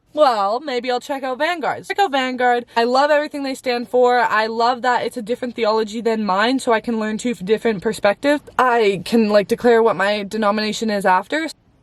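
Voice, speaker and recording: A woman talks at a fairly quick pace with hardly any pauses, her fairly high voice animated with ordinary pitch variation. The sound is dry and close with no echo, though with noticeable background noise. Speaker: faith vlogger. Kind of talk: casual story time vlog. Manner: fast.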